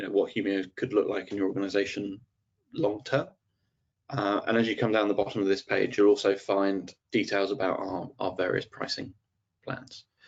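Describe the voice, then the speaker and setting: A man speaks with fairly low pitch. His intonation is fairly even. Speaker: solution architect presenting product webinar. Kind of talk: webinar product demo. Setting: online webinar. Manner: fast, many fillers.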